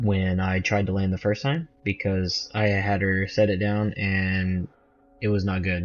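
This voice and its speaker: At a fairly slow pace, a man with a slight Southern US accent speaks in a fairly low voice at very even loudness. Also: fairly even intonation. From US South. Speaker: gamer. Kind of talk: gameplay commentary.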